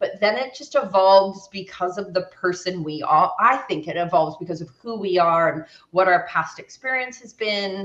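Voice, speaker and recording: Speaking with an American accent, a woman keeps a moderate pace, a medium pitch and ordinary pitch variation. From US West Coast, San Francisco. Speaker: naturopath and sports nutritionist. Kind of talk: interview.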